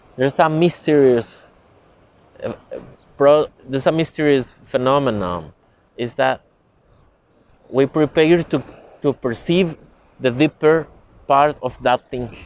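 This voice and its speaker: A man with a non-native accent speaks at a fairly slow pace, leaving long, frequent pauses. His fairly high pitch shows ordinary variation. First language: not English. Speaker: spiritual teacher. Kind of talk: lecture. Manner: halting.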